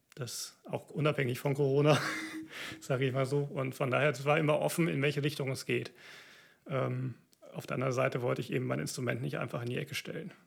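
A man of medium pitch talks at a very fast pace with fairly even intonation, broken by long, frequent pauses. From Siegerland, North Rhine-Westphalia, Germany. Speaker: orchestra violinist and church planter. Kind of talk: interview. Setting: video recording.

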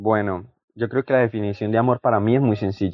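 Fairly quick and fairly even in intonation, a man talks in a plain, everyday voice. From Colombia. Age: young. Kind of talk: religious podcast chat.

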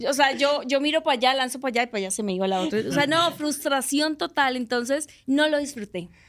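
Speaking very fast, a woman with a Colombian accent hardly pauses at all. Her voice is high-pitched, with ordinary pitch variation. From Colombia, Barranquilla. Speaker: actress. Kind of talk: casual chat.

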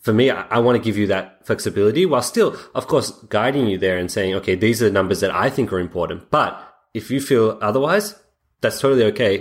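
Talking at a very fast pace, a man uses a fairly low pitch and ordinary pitch variation. He has an Australian accent. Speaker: software founder. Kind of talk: interview. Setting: remote call.

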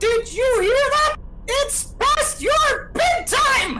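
In a put-on character voice with an extremely high pitch, the speaker shouts at a very slow pace over noticeable background noise. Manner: yelling; scolding.

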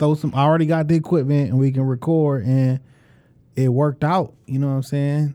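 Over a quiet background, a man with a Detroit accent speaks at a fairly quick pace. His tone is dark and mellow, his pitch fairly high. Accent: Detroit urban American English. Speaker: podcast co-host and former rapper. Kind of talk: casual chat. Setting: studio. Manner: animated, boastful.

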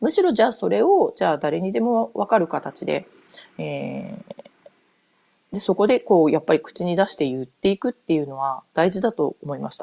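The woman's loudness swings widely from moment to moment. The sound is dry and close, with no echo. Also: moderate pace. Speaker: podcaster, board game enthusiast. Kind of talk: solo podcast monologue. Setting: home. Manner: casual, many fillers.

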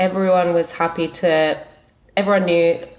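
A woman speaks in an Australian accent at a fairly low pitch. Her intonation is monotone and flat, and there is noticeable background noise. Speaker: product manager, school alumna. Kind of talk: interview. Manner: thoughtful, pausing.

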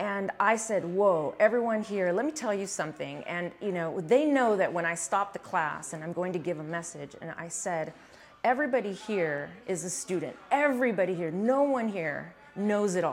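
A woman with an ordinary speaking voice talks at medium pitch and a moderate pace, with lively intonation. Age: 40s. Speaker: fitness coach. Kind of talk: casual chat.

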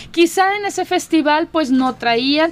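A woman's pitch swings very widely while noticeable background noise runs underneath. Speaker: radio host. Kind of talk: casual chat.

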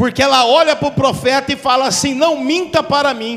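Over noticeable background noise, a man with an extremely high pitch talks in an animated tone at a moderate pace, his pitch varying in an ordinary way. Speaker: visiting preacher. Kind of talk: sermon with prophecy. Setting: church. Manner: animated, fervent, call-and-response.

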